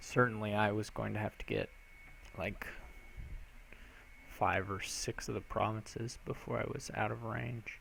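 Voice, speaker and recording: Quietly and at a moderate pace, a man speaks with long, frequent pauses. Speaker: game streamer. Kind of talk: live gameplay commentary. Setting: live stream. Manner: quiet, speaks low.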